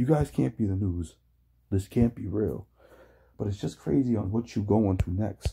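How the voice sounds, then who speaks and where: With a dark, mellow, somewhat breathy tone, a man at fairly low pitch speaks at a moderate pace with lively intonation and long, frequent pauses. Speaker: reaction video commentator. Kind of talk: reaction commentary. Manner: animated.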